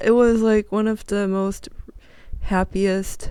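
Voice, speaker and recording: A woman speaks at a very slow pace. Her intonation is fairly even. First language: not English. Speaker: podcast host. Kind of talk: casual solo podcast talk. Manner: halting, self-correcting.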